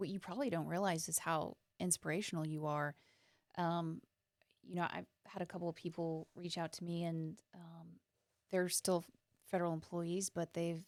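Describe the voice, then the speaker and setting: A woman with an American accent and fairly low pitch, fairly even intonation at a moderate pace, long and frequent pauses, in a dry, close sound with no echo. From central Texas. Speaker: former polygraph examiner, coffee business owner. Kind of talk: interview conversation. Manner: halting, repeats words.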